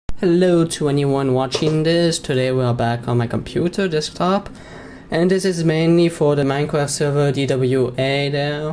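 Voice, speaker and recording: Noticeable background noise sits behind a speaker with an American accent who talks at a moderate speed. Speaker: Minecraft server forum manager. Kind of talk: screen-recorded tutorial commentary. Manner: casual, chatty.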